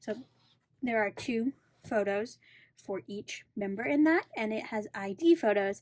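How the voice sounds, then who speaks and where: A woman speaks at a fairly slow pace with lively intonation and a fairly high pitch. Her delivery has long, frequent pauses. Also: very clean recording, silent background. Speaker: K-pop album collector and video creator. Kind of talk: casual tutorial. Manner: slower in parts.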